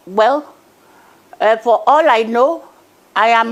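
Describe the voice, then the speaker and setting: A woman speaks in a high voice with a Nigerian accent. Her pitch shows ordinary variation. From Nigeria, Niger Delta. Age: 80s+. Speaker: activist. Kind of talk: TV news interview. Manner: halting.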